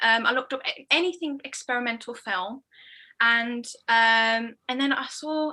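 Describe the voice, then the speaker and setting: A woman's raised, projected voice, high-pitched with a bright, sharp tone. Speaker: experimental filmmaker. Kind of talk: casual interview.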